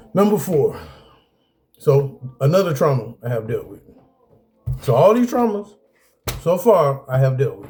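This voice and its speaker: With music playing behind him, a man speaks in a fairly high voice with very wide pitch swings, big shifts in loudness, and long, frequent pauses. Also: fairly slow pace. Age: 40s. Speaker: video blogger sharing personal experiences. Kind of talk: casual talk with reading from a list.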